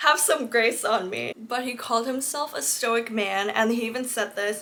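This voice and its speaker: Delivered in an animated tone at a fairly slow pace, the speech has noticeable background noise behind it. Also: woman. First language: not English. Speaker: book content creator. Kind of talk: casual chat.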